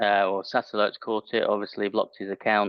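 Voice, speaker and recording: A British accent is heard. The voice is a man's. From UK. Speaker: IT managed service provider. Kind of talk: casual chat.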